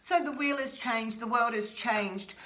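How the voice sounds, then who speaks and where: With an Australian accent, a woman speaks in an animated tone at a fairly quick pace with ordinary pitch variation. Noticeable background noise and audible room echo fill the recording. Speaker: tarot reader. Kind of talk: tarot reading.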